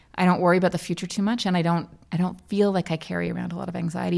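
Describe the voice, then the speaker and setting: At a very fast pace, a woman with a fairly low pitch talks in a monotone, flat way with vocal fry. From Australia. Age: 40s. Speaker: mother. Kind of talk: casual interview. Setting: garden shed at a party.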